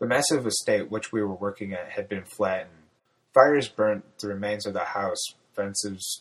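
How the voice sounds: A natural reading voice is heard with a quiet background.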